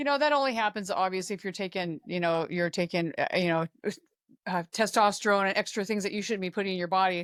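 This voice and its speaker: A woman's voice at medium pitch with ordinary pitch variation and a very fast pace, in a very clean recording with a silent background and a dry, close sound with no echo. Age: 60s. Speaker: fitness coach. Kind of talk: casual chat. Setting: podcast interview.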